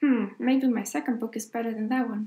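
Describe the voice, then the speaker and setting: Speaking with a Swedish accent, a woman keeps a moderate pace. Her pitch is fairly high and her intonation fairly even. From Sweden. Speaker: author. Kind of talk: tutorial. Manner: casual, with fillers.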